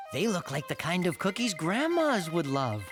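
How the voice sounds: A cartoonish character voice at a middle pitch, with clear music in the background. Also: moderate pace.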